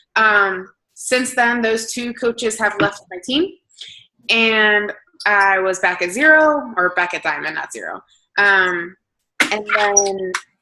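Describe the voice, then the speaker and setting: A woman with a New Jersey accent, a bright, sharp tone, ordinary pitch variation and a fairly slow pace. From New Jersey, Hamilton. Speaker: fitness coach. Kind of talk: motivational talk.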